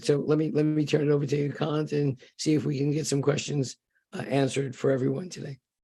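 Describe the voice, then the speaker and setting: A fairly high-pitched man's voice, dark and mellow in tone, somewhat breathy, with fairly even intonation at a very fast pace. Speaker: panel moderator. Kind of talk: panel discussion. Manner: halting.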